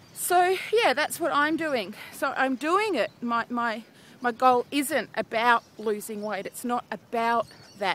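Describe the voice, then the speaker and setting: With an Australian accent, a woman speaks very slowly at a high pitch, her tone upbeat and her intonation lively. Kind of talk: casual vlog talk to camera. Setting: outdoors. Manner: chatty, upbeat.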